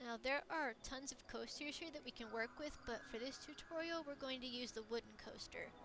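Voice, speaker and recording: A woman's high-pitched voice at a moderate pace, with ordinary pitch variation, hardly any pauses and noticeable background noise. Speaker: gaming tutorial creator. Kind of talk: tutorial. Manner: halting.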